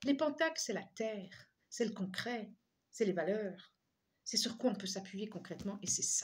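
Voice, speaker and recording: Fairly slow, somewhat breathy speech with ordinary pitch variation. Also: woman, medium pitch for a woman. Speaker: tarot reader and energy healer. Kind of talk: tarot reading guidance. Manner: halting, many repetitions.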